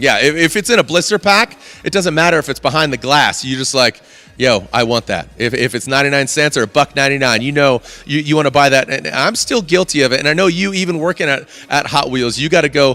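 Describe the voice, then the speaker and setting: In an animated tone, a man with a fairly high voice speaks at a very fast pace with ordinary pitch variation. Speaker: event host and announcer. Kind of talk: live event hosting.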